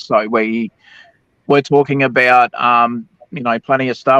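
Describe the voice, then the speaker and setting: The sound is dry and close, with no echo. A man talks in an Australian accent. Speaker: livestream panelist. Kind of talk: casual chat. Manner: hesitant, many fillers.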